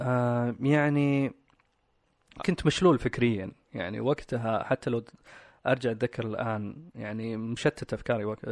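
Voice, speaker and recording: A man speaks fairly slowly in an ordinary speaking voice, medium in pitch with ordinary pitch variation. The sound is dry and close with no echo, over a quiet background. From Saudi Arabia (Riyadh), Pakistani parents. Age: 30s. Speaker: guest sharing life story. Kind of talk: personal interview. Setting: studio.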